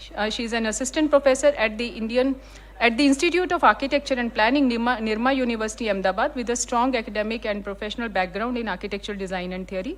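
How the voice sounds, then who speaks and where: The speech is very fast, with ordinary pitch variation. Background noise is noticeable. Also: woman. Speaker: seminar moderator. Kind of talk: speaker introductions at academic seminar. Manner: halting, with fillers.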